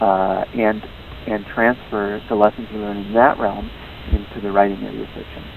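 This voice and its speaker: Over noticeable background noise, a man with an American accent talks at a moderate pace in a fairly low pitch, his intonation monotone and flat. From Wisconsin, US Midwest. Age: 40s. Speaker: novelist. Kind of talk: interview. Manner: halting, many fillers.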